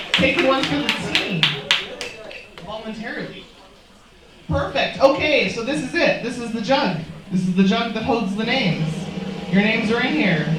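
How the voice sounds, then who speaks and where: Long pauses come often within a moderate pace. There is noticeable noise behind the voice. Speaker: poetry slam host. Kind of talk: live event hosting. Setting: live pub venue.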